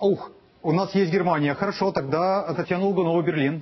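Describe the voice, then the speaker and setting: The man speaks with ordinary pitch variation. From Odesa, Ukraine. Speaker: TV news anchor. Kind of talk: live election-night broadcast. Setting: TV studio. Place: studio. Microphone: lapel.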